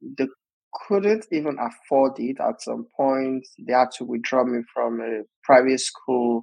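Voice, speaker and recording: The speaker has a Nigerian accent. The pace is fairly slow. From Osun State, Nigeria. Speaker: digital marketer and business coach. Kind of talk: interview conversation. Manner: animated, motivational.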